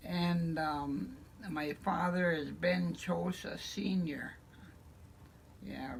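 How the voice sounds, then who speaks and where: Speaking very slowly with an American accent, a woman takes long, frequent pauses amid audible room echo. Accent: Upper Midwest, Ojibwe community English. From Lac du Flambeau, Wisconsin. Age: 80s+. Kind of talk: interview.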